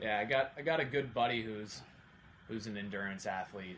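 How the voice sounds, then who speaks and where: A man with an American accent speaks at a fairly quick pace in a fairly low pitch, with ordinary pitch variation and audible room echo. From Oregon, Salem. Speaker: accountant and amateur triathlete. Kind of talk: podcast interview.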